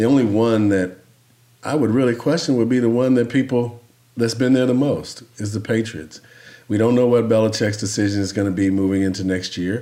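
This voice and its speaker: Medium pitch, a fairly quick pace and ordinary pitch variation from a man with an unremarkable speaking voice. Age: 60s. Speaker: former pro football player and podcast co-host. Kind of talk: casual chat.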